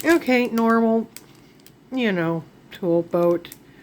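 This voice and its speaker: Lively intonation marks a woman's very slow speech over noticeable background noise. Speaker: diamond painting craft vlogger. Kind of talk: casual haul video talk. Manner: rambling, self-correcting.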